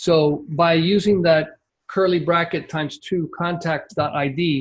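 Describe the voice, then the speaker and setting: A man's normal speaking voice, fairly high in pitch, with fairly even intonation. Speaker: membership site coach. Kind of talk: screen-share tutorial on a coaching call.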